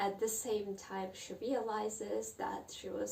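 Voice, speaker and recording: Speaking at a very slow pace, a woman talks with a Russian accent. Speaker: book vlogger. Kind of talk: casual monologue on literature. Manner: halting.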